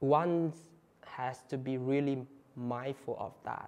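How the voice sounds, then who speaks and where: A man speaks with a Vietnamese accent at a medium pitch. His tone is dark and mellow. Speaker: Buddhist monk. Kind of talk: talk to an audience. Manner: halting, with fillers and repeats.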